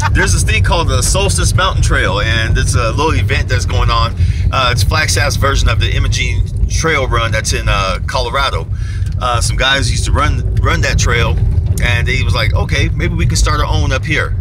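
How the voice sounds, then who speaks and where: Over music in the background, a man talks at a fairly quick pace, the sound dry with no echo. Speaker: vlogger in car. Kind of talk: casual vlog chat. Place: car. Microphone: camera far.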